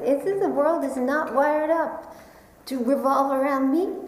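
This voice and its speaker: With an American accent, a woman speaks at a high pitch and a fairly slow pace, with audible room echo and noticeable background noise. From New York. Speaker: Buddhist meditation teacher. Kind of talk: dharma talk.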